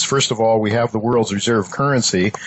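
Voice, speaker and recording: Over noticeable background noise, a man with an American accent speaks with fairly even intonation. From US Midwest, Ohio. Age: 70s. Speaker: podcast host. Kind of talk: interview. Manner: halting, many fillers.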